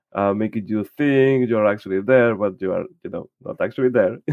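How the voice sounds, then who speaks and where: Fairly low male voice with a Spanish accent and ordinary pitch variation. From Spain. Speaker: church volunteer and podcast co-host. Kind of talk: casual podcast chat.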